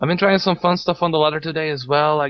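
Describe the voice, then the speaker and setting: With a non-native accent, a man speaks at a fairly high pitch using fairly even intonation. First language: not English. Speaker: esports tournament co-caster and streamer. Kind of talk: live stream commentary. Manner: casual, relaxed.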